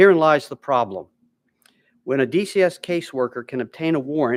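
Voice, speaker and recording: The recording is very clean, with a silent background and a dry, close sound with no echo. A man with a plain, everyday voice talks at a fairly quick pace with ordinary pitch variation. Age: 60s. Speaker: witness testifying at a legislative hearing. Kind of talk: formal testimony. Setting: legislative hearing room. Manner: reading prepared statement, some stumbles.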